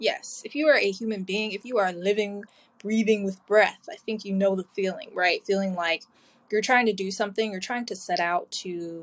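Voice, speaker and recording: A woman's unremarkable speaking voice at a medium pitch, delivered at a moderate pace and with ordinary pitch variation. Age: 20s. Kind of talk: solo podcast self-interview. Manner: casual, chatty, upbeat.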